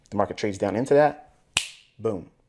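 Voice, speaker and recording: A man at a fairly quick pace. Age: 40s. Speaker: trading educator. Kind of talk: tutorial.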